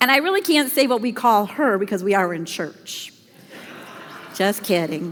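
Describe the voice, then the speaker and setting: Her medium-pitched voice swings very widely in pitch at a moderate pace, broken by long, frequent pauses, with audible room echo around the woman. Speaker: pastor. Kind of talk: sermon. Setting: church.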